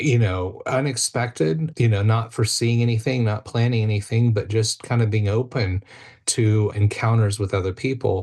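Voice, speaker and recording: A man with an American accent speaks in a somewhat breathy voice and fairly even intonation over a quiet background. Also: medium pitch for a man, moderate pace. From United States. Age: 50s. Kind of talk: podcast interview.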